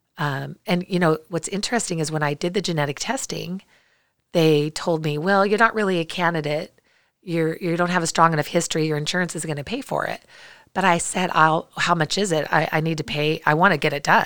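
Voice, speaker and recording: Using an unremarkable speaking voice, a woman talks at a fairly quick pace with a fairly low pitch and fairly even intonation. The recording is very clean, with a silent background. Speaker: cancer survivor. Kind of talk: testimony. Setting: studio.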